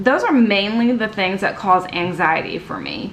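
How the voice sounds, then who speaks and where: A woman's very slow speech, with noticeable background noise and audible room echo. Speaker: YouTuber. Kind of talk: personal vlog monologue. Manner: halting.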